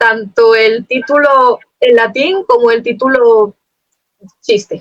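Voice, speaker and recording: A woman's high voice with ordinary pitch variation. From Spain. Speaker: poet. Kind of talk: interview. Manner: fast.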